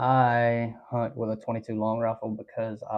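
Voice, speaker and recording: Over a quiet background, a man speaks at a fairly slow pace with medium pitch and monotone, flat intonation. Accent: Alabama. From Alabama. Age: 20s. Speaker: hunting and trapping livestreamer. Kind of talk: live stream chat reading viewer comments. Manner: casual, many filler ums.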